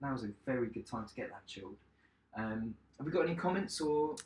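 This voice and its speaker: The voice moves at a fairly quick pace and swings very widely in pitch. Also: man. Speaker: chef. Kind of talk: cooking tutorial livestream. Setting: home kitchen, live stream. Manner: loud.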